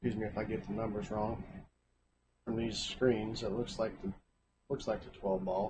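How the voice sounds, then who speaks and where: With long, frequent pauses, a man speaks in a fairly low, somewhat breathy voice and a monotone, flat intonation. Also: moderate pace. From Kentucky. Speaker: pool commentator. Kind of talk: live commentary.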